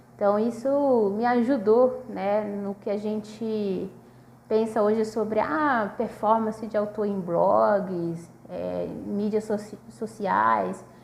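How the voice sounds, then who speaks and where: A woman's fairly high voice, very slow and fairly even in intonation, over noticeable background noise. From northern Brazil, Manaus. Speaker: PhD student researcher. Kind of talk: casual video talk about research. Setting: self-recorded video at a table. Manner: hesitant, many fillers.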